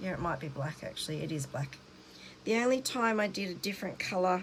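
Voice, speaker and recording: Mumbling from a woman at medium pitch. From Australia. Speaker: cross-stitch vlogger. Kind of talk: casual show-and-tell vlog. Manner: words running together, slightly mumbled; chatty, hesitant with fillers.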